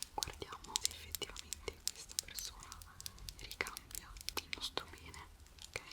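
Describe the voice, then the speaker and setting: A woman whispering in a calm, gentle tone, with noticeable background noise. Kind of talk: ASMR relaxation talk with advice to the viewer. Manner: soft-spoken, calm, gentle.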